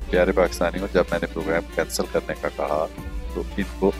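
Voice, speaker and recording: Music plays in the background. The voice's pitch swings very widely. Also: man. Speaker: news anchor. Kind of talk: narration addressed to viewers.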